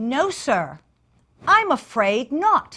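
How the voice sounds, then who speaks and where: A put-on character voice leaps through very wide pitch swings. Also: woman. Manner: polite, formal.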